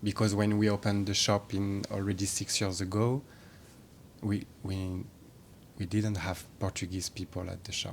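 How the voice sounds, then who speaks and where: In a French accent, a man talks at a moderate pace with a fairly low pitch. His intonation is monotone and flat, and the recording is very clean with a silent background. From France. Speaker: shop creative lead. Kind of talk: casual interview chat.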